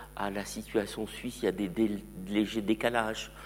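Speaking at a fairly slow pace, a man shows vocal fry and ordinary pitch variation. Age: 60s. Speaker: museum curator. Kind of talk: lecture.

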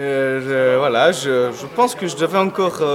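Amid noticeable background noise, a man speaks at a fairly high pitch with ordinary pitch variation. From Switzerland. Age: 20s. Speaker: student. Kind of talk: interview. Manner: hesitant, many fillers.

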